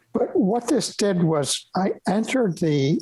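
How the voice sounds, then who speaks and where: Very wide pitch swings in an American accent. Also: man. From raised abroad (Yukon, Bahrain, Holland, Lebanon), then New York. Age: 80s+. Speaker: retired professor of pathology. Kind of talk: interview conversation. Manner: halting.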